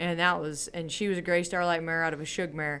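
A woman speaks in an ordinary speaking voice with an American accent. Her pitch is fairly low and her intonation fairly even. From US West Coast, Palmdale/Lancaster California. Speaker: cutting horse trainer. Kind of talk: casual interview. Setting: event venue.

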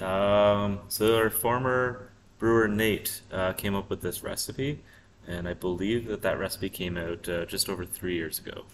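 A man with an unremarkable speaking voice talks at a fairly slow pace with fairly even intonation and a fairly low pitch. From Prince Edward Island, Canada. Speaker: brewery co-owner. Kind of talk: interview. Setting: in a brewery taproom.

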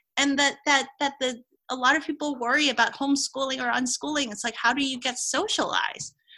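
In a raised, projected voice, a woman speaks at a fairly quick pace. Her pitch is high and her intonation fairly even. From Hong Kong. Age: 40s. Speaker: Chinese medicine doctor. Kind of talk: casual interview.

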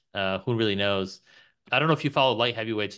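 A man's medium-pitched voice with a bright, sharp tone and fairly even intonation, over a quiet background. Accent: New York. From New York. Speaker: podcast host. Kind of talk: casual interview.

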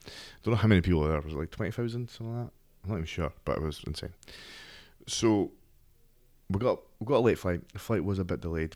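Speaking at a very fast pace yet with long, frequent pauses, a man uses a fairly low pitch and ordinary pitch variation. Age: 30s. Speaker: podcast host and MMA strength and conditioning coach. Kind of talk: casual solo podcast monologue. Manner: conversational, informal.

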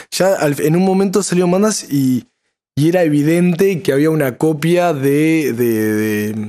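Fairly slow in pace, a man's fairly high voice has a dark, mellow tone and lively intonation. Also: very even loudness. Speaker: musician and songwriter. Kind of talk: casual chat. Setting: live stream.

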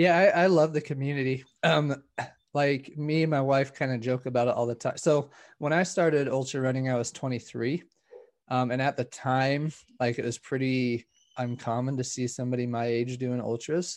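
A man with an American accent speaks at a moderate pace and medium pitch, in a plain, everyday voice. His intonation is fairly even, and the background is quiet. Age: 30s. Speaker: ultra runner. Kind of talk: casual chat.

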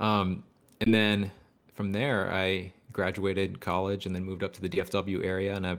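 Recorded very cleanly against a silent background, a man with a plain, everyday voice speaks at a moderate pace, fairly low in pitch and fairly even in intonation. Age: 20s. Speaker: percussion educator and drum corps alum. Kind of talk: casual interview chat.

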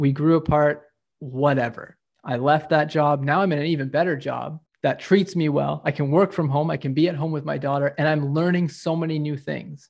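With a Canadian accent, a man uses an ordinary speaking voice at a fairly high pitch and moderate pace. His intonation is fairly even, over a quiet background. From Canada. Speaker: course creator and fitness coach. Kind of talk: casual interview.

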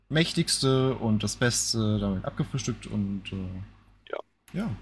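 A man talks at a very slow pace, somewhat breathy. His pitch varies in an ordinary way. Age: 20s. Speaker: gaming podcast co-host. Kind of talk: casual chat.

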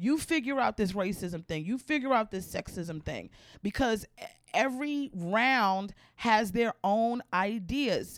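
At a fairly slow pace, a woman with an American accent uses an unremarkable speaking voice with lively intonation and a fairly high pitch, in a very clean recording with a silent background. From Maryland (Baltimore). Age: 40s. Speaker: stand-up comedian. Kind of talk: casual interview chat.

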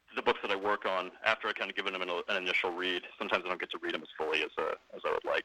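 In a dry, close recording with no echo, a man with an American accent talks at a very fast pace. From US South, New Orleans, Louisiana. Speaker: book editor. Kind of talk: radio interview.

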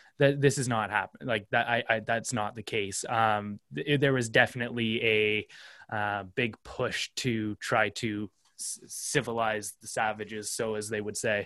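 A man with a Canadian accent speaks at a fairly slow pace and a fairly low pitch, his intonation fairly even. His tone is bright and sharp, with big swings in loudness. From Canada. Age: 20s. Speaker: content creator and videographer. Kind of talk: casual interview chat.

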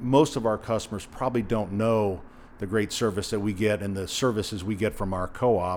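In an American accent, a man talks at a fairly quick pace with a fairly low pitch, a plain, everyday voice and fairly even intonation. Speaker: hardware store owner. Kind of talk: interview. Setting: in his store.

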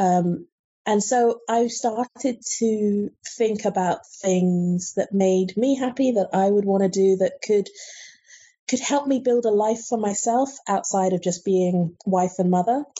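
A woman at a fairly slow pace, somewhat breathy, medium in pitch with ordinary pitch variation and very even loudness. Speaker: book editor and reviewer. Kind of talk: interview.

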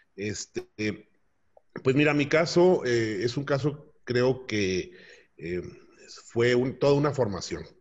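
A man speaks at a very slow pace in a somewhat breathy voice, with long, frequent pauses. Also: medium pitch for a man, lively intonation. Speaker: business owner. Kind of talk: interview. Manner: halting.

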